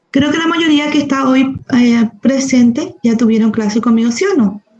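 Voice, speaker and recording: A woman's high-pitched voice, fairly slow, with ordinary pitch variation. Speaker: medical professor. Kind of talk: lecture.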